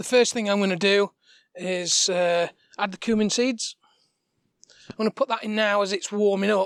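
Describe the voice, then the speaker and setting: Quiet and high-pitched, a man talks at a moderate pace with fairly even intonation and long, frequent pauses, in a dry, close sound with no echo. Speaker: cooking demo host. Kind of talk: cooking tutorial. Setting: outdoor demo kitchen in front garden. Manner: halting, many fillers.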